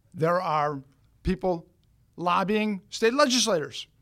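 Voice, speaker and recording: Lively intonation from a man in a very clean recording with a silent background. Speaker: attorney. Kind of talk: interview.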